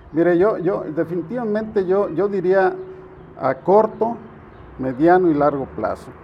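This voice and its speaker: A man speaks at a fairly slow pace with a high pitch and ordinary pitch variation. Long, frequent pauses break his speech over noticeable background noise. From Jalisco, Mexico (Estipac). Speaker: political candidate. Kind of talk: interview. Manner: halting, frequent repetitions.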